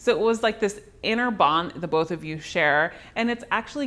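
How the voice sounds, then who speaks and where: Speaking at a moderate pace with lively intonation, a woman has a slight Southern California accent. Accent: slight Valley Girl. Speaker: dating coach. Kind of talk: advice talk to camera. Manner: casual, chatty.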